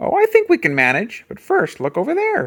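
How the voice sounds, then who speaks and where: A man speaks at a fairly quick pace in a put-on character voice pitched extremely high. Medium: read story. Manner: folksy, warm.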